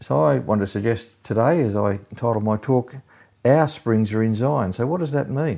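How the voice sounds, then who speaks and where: A man with an Australian accent, medium pitch and a dark, mellow tone, at a moderate pace with lively intonation, on a very clean recording over a silent background. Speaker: pastor. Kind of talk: sermon. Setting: recorded at home during lockdown. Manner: halting.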